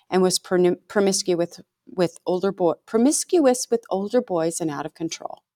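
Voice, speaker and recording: In a very clean, dry, close recording with a silent background and no echo, a woman uses a normal speaking voice at a medium pitch, a moderate pace and ordinary pitch variation. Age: middle-aged. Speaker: true crime podcast co-host. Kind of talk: scripted narration; casual chat.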